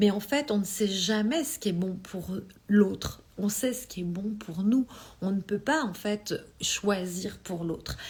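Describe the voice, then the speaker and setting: A woman speaks at a very slow pace with a somewhat breathy voice. Her pitch sits in the medium range and varies in an ordinary way. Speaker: energy healing coach. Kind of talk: live stream talk. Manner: halting.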